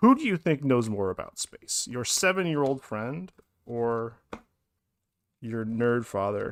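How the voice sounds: A man speaks at a medium pitch and a slow pace. His intonation is lively.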